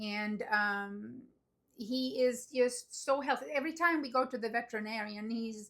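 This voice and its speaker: A woman with an unremarkable speaking voice talks at a fairly slow pace. Her pitch is fairly high. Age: 50s. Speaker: dog owner vlogger. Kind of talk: casual talk to camera.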